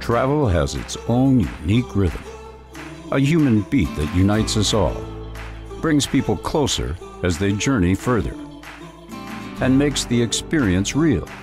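Over clear background music, a speaker with an American accent makes very wide pitch swings and leaves long, frequent pauses, the sound dry with no echo. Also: man, fairly low pitch for a man, fairly slow pace. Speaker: voice actor. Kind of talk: corporate narration. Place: studio. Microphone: studio mic.

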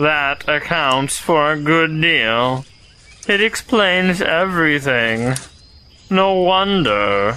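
The speaker uses a put-on character voice, pitched in the middle range and moving at a very slow pace. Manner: gloomy, mopey.

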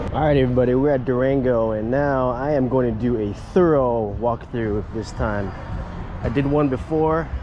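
With ordinary pitch variation and a moderate pace, a man speaks in a dry sound with no echo, noticeable background noise behind him. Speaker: walking tour vlogger. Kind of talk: casual vlog chat. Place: hall. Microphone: phone near.

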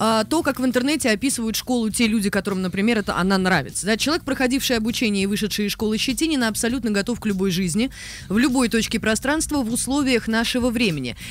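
The pace is very fast. There is light background noise, and the sound is dry with no echo. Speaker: radio host. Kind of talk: radio talk show. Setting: studio. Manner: halting, many filler sounds. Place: studio. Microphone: studio mic.

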